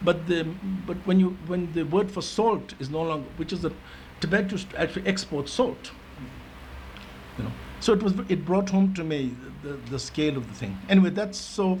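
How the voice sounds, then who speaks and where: Long, frequent pauses break up speech at a moderate pace with ordinary pitch variation, in a room with audible echo and noticeable background noise. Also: man, high pitch for a man. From India (Darjeeling, Delhi), Tibetan exile. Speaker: education advisory committee member. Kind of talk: meeting discussion remarks. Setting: conference meeting. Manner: hesitant, many fillers and restarts.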